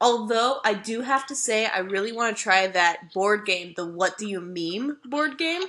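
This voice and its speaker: Fairly high-pitched female speech in an animated tone with lively intonation, at a moderate pace, over noticeable background noise. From Mississippi. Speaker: podcast host, journalist. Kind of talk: casual comedic chat. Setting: remote recording, cat nearby. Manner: animated, joking.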